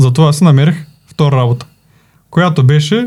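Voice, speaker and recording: A man talks at a fairly high pitch with ordinary pitch variation and a dark, mellow tone. His pace is fairly slow and his voice somewhat breathy. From Bulgaria, Plovdiv region. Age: 20s. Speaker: video editing team manager. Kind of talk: casual interview.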